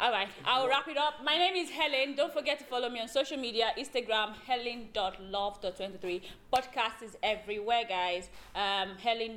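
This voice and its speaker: A woman's fairly high-pitched voice with lively intonation over noticeable background noise. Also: moderate pace. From Nigeria. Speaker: podcast host. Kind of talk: casual chat.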